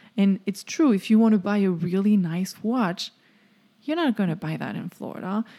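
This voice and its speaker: A woman with a French accent speaks at a medium pitch in a dark, mellow tone. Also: ordinary pitch variation, moderate pace, very clean recording, silent background. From France. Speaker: podcast co-host. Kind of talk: casual chat.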